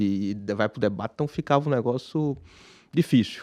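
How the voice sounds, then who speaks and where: A man with a Pernambuco accent speaks in a dark, mellow tone with ordinary pitch variation. The sound is dry and close with no echo, over a quiet background. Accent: Pernambuco accent, kept. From Brazil, Pernambuco (Recife). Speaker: businessman, investor. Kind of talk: interview. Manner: halting, many restarts.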